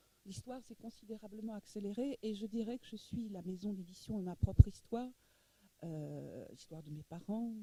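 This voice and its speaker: This woman's voice is somewhat breathy, with a medium pitch. She talks at a moderate pace with lively intonation. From Egypt, moved to France. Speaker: publisher. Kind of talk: masterclass interview talk. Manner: halting, many repetitions.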